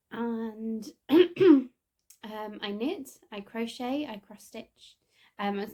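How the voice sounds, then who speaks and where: Lively intonation runs through a dark, mellow tone in an East Midlands accent. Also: woman. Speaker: knitting podcaster. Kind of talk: casual chat. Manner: hesitant, many fillers.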